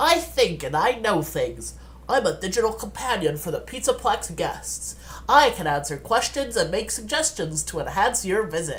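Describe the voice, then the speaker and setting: With clear background noise behind him, a man uses a put-on character voice. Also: moderate pace. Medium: read story. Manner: chipper, formal, eager to help.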